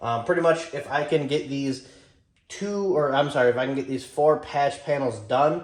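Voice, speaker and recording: There is audible room echo around a man's fairly high voice, which shows ordinary pitch variation. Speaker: car build YouTuber. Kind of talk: garage vlog talk. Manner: fast.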